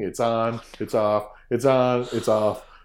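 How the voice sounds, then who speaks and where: A man speaks with a Cape Breton accent. The recording is very clean, with a silent background. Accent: Cape Breton Canadian. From Cape Breton, Nova Scotia, Canada. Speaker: fiddler and music teacher. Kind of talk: interview. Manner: hesitant, many fillers.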